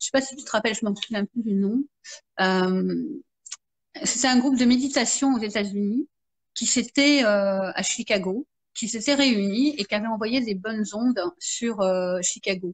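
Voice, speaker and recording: Her pitch fairly high with ordinary variation, a woman talks at a moderate pace in a somewhat breathy voice. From France. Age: 50s. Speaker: marketing consultant and therapist. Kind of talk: interview. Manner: halting, many fillers.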